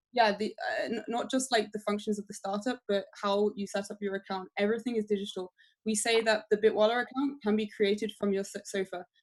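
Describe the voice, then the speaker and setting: Her English accent comes through as the woman talks at a fairly quick pace. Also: fairly high pitch for a woman. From England. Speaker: crypto company marketing manager. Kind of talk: interview on a webinar. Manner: hesitant, many fillers.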